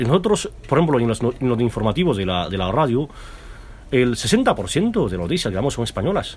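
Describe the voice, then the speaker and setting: The man's voice sits at a medium pitch and sounds somewhat breathy. His pitch swings very widely. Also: moderate pace. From China. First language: Mandarin Chinese (speaking Spanish). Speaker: businessman and radio founder. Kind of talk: interview. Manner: halting.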